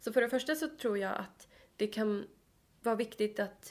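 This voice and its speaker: The voice carries vocal fry. Its intonation is fairly even. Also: woman. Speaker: podcast co-host, psychology student. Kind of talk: casual chat. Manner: fast.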